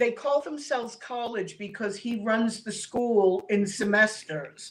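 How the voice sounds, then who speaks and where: A woman speaks in a plain, everyday voice at a fairly high pitch with ordinary pitch variation. Her pace is fairly slow. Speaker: rescue dog owner and martial arts student. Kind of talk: casual interview chat.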